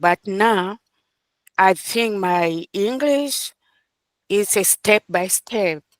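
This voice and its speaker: Speaking with a non-native accent, a woman has a medium pitch and lively intonation. The recording is very clean with a silent background, and the sound is dry and close with no echo. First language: not English. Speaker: adult ESL student. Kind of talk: class discussion. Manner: halting.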